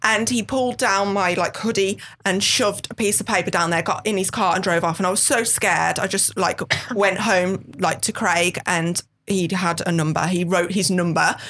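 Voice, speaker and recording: Speaking with a strong Brummie accent, a woman keeps a medium pitch, fairly even intonation, very even loudness and a moderate pace over noticeable background noise. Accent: thick Brummie. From West Midlands, England. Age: 30s. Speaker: model. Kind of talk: casual interview chat.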